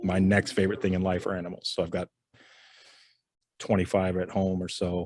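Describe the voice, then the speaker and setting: A soft-spoken man with a very deep, low pitch, monotone and flat, at a fairly quick pace with long, frequent pauses. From Rhode Island. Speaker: insurance agent. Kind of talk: interview. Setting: studio.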